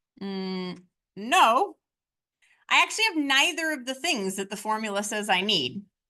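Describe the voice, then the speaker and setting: With a bright, sharp tone, a woman speaks at a moderate pace and a fairly high pitch, making very wide pitch swings and long, frequent pauses. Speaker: statistics teacher. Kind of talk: lecture.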